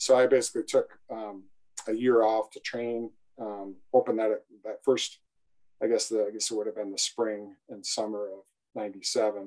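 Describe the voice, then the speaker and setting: A man's medium-pitched voice in a Midwestern American accent, fairly slow, monotone and flat, with big swings in loudness. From northern Iowa. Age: 40s. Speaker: civil engineer and sales manager. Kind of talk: casual interview.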